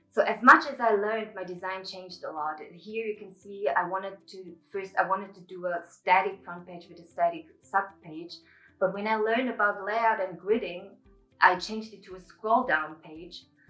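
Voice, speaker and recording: With music in the background, the voice moves at a moderate pace with ordinary pitch variation. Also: woman, medium pitch for a woman, big swings in loudness. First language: Mongolian. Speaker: student presenter. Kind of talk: project presentation.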